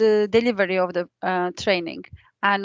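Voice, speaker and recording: A woman at a medium pitch with a non-native accent, moderate pace, a quiet background and a dry, close sound with no echo. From outside England. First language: not English. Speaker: training coordinator. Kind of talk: online meeting introduction. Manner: halting, many fillers.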